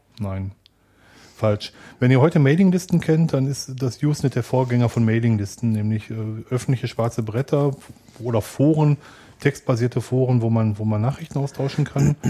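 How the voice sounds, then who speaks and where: With a dark, mellow tone and a somewhat breathy quality, a man speaks at a moderate pace and medium pitch, using ordinary pitch variation and long, frequent pauses. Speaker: podcast co-host. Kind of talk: casual chat.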